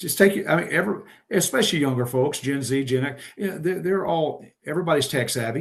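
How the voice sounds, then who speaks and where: Speaking very fast in an American accent, a man with a fairly high, somewhat breathy voice shows ordinary pitch variation. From Texas. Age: 60s. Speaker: trucking safety expert. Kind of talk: podcast interview.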